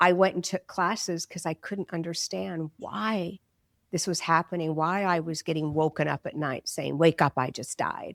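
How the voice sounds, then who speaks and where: In a normal speaking voice, a woman talks at a moderate pace and a fairly low pitch with ordinary pitch variation, the sound dry and close with no echo on a very clean recording with a silent background. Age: 60s. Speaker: psychic medium and grief counselor. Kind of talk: interview.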